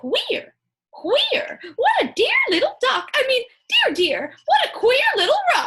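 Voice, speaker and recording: In a put-on character voice, the speaker goes at a fairly slow pace with an extremely high pitch. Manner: funny, playful.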